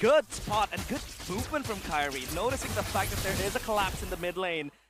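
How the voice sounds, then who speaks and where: Music in the background behind an animated man, high in pitch, at a moderate pace. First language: not English. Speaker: esports caster. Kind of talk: live commentary.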